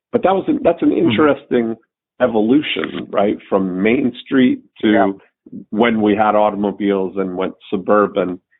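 Using an ordinary speaking voice, a man talks at a fairly low pitch and moderate pace with ordinary pitch variation. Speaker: podcast host. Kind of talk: casual chat.

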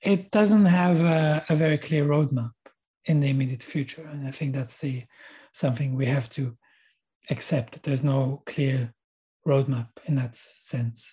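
Somewhat breathy and dark, mellow in tone, the voice carries an Israeli accent and ordinary pitch variation at a fairly slow pace. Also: man, fairly high pitch for a man. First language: Hebrew. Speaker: university lecturer. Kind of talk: interview. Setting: video call.

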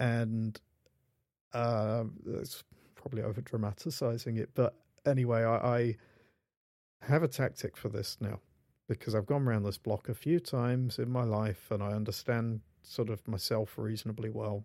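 Dark and mellow in tone, the voice carries a British accent and moves at a moderate pace with fairly even intonation, long and frequent pauses, and a dry, close sound with no echo on a very clean recording with a silent background. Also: man, medium pitch for a man. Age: 40s. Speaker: podcast host, indie developer. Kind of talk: casual chat.

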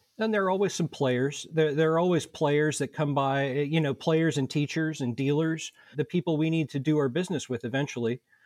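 Talking at a fairly quick pace with hardly any pauses, a man with a fairly high pitch, ordinary pitch variation and an American accent has a normal speaking voice over a quiet background. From Indianapolis, Indiana. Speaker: violin society board member. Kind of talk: casual interview.

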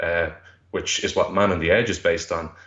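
A man with a Dublin accent at a fairly quick pace. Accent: Dublin Irish. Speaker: music fan guest. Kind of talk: interview. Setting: phone call.

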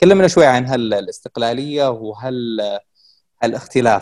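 A man with an ordinary speaking voice, pitched medium, keeping a moderate pace and ordinary pitch variation. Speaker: podcast host interviewer. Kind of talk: interview conversation.

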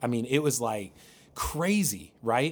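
A man has an unremarkable speaking voice, medium in pitch and moderate in pace. The recording is very clean, with a silent background. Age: 40s. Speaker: pastor. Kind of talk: casual chat.

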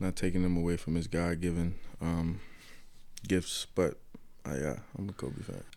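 A man's very deep, dark and mellow voice at a moderate pace, fairly even in intonation, with long, frequent pauses. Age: 20s. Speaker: college football linebacker. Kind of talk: interview. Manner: halting, many fillers.

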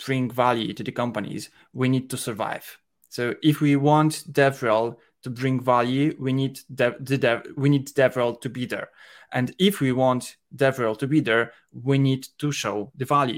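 With a Polish accent, a man speaks at medium pitch. His pace is fairly slow and his intonation fairly even. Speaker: head of operations at a software company. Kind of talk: casual chat. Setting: video call at night.

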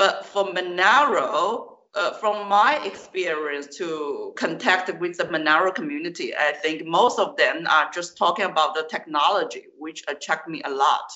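The speaker has a Chinese accent. The pace is fairly slow. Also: hardly any pauses. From southern China. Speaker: Chinese teacher. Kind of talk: interview.

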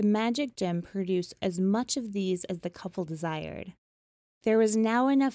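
Over a quiet background, pitch shifts in an ordinary way in this natural reading voice.

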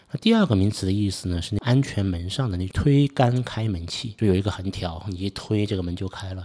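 In a very clean recording with a silent background, a dark, mellow tone runs on with hardly any pauses. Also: man, fairly low pitch for a man, ordinary pitch variation, fairly quick pace. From Suzhou, Jiangsu, China. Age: 40s. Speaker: podcast host. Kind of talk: solo podcast monologue.

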